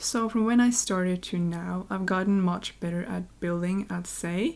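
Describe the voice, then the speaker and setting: A woman speaks with a Norwegian accent. Her intonation stays fairly even. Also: medium pitch for a woman, moderate pace. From Norway. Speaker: YouTuber, game builder. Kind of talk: Q&A voiceover over gameplay. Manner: casual, conversational.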